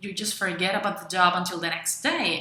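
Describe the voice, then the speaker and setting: A woman speaks in an enthusiastic tone at a moderate pace. Room echo is audible, and there is noticeable background noise. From Venezuela. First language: Spanish. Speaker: freelancer and video blogger. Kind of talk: tutorial. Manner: some hesitations.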